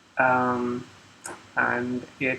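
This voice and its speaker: A man talks over noticeable background noise. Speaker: programmer live-streamer. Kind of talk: live coding walkthrough. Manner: halting, many fillers.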